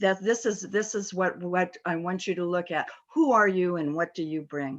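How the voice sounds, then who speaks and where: A woman's unremarkable speaking voice with an American accent, medium pitch, ordinary pitch variation and moderate pace. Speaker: corporate board director. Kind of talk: panel talk.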